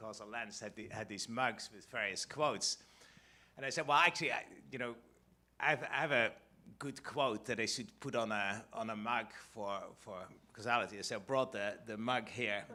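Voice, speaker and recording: A man with a Dutch accent speaks in a bright, sharp, medium-pitched voice at a moderate pace, with ordinary pitch variation, big swings in loudness and long, frequent pauses. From Netherlands. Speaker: economics professor. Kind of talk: conference talk. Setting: stage with audience. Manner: halting, many fillers and restarts.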